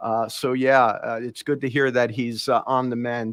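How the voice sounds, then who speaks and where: A man in a New York accent speaks at a moderate pace, with dry, close sound and no echo. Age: 60s. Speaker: podcast host, former HVAC tradesman. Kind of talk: interview.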